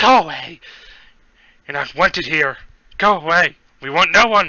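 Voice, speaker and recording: Shouting in a put-on character voice, the speaker sounds shrill at a middle pitch and keeps a moderate pace. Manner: yelling, hostile.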